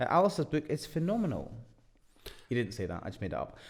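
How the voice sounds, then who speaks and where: With a Scottish accent, a man speaks through vocal fry. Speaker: property investment podcast co-host. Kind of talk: casual chat.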